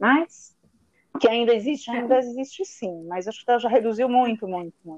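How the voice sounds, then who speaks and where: A woman with a normal speaking voice talks at a moderate pace and fairly high pitch, her intonation lively and her loudness swinging widely. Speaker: chemical engineer. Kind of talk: casual chat.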